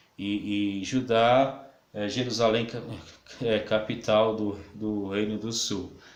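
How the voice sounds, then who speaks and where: Here a man speaks at a very slow pace with fairly low pitch. His intonation stays monotone and flat, and the room echo is audible. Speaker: pastor and Bible teacher. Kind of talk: lecture. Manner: halting, many fillers.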